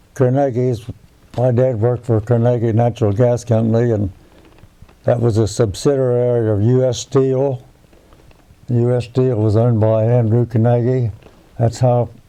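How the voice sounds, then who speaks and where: With an American accent, a man of medium pitch talks in a flat monotone at a moderate pace and very even loudness, taking long, frequent pauses amid noticeable background noise. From West Virginia (northern, near Wheeling). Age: 90s. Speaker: war veteran. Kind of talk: oral history interview. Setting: at his home. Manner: halting, with false starts.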